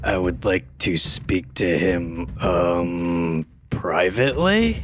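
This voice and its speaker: Using a put-on character voice, a man speaks very slowly in a very deep, low, raspy pitch with ordinary pitch variation. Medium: actual play. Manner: blunt, stubborn.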